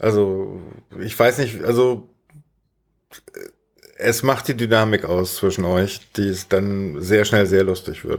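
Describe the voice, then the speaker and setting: A man with a fairly low pitch and fairly even intonation at a very slow pace with long, frequent pauses, on a very clean recording with a silent background. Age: 40s. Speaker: podcast host and streamer. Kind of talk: casual chat.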